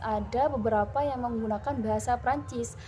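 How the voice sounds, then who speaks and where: A woman talking at a fairly quick pace amid audible room echo. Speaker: university student presenter. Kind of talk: class presentation. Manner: hesitant, frequent fillers.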